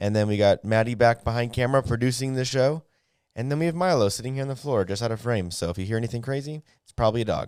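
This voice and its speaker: Over a silent background in a very clean recording, a man at medium pitch talks at a very fast pace with big swings in loudness. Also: ordinary pitch variation. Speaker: podcast host. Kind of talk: casual chat. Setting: studio. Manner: halting, many fillers.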